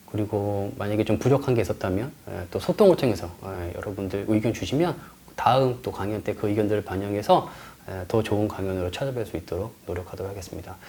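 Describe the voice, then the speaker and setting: A man with a fairly low pitch talks fairly quickly, his pitch varying in an ordinary way. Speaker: lecturer and tour guide. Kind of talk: online lecture. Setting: recorded in front of a camera. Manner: fast.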